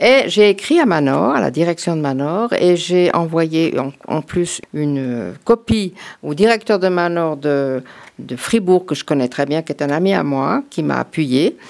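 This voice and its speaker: Lively intonation from a woman with a fairly low pitch at a fairly slow pace, on a very clean recording with a silent background. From France. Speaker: former cantonal politician. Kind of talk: radio talk show discussion. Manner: halting.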